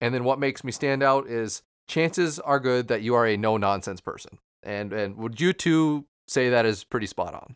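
In a very clean recording with a silent background and a dry, close sound with no echo, a man with an American accent talks at a moderate pace in a plain, everyday voice, medium in pitch with ordinary pitch variation. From Minnesota. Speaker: podcast co-host. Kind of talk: casual chat.

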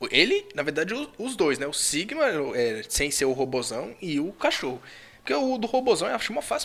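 Swinging his pitch very widely, a man speaks at a fairly quick pace in a high pitch. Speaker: podcast host. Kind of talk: casual chat.

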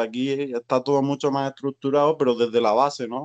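At a moderate pace, a man talks in a fairly high voice for a man. The sound is dry and close with no echo over a quiet background. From Spain. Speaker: emigrant waiter and trade unionist. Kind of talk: casual interview. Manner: halting.

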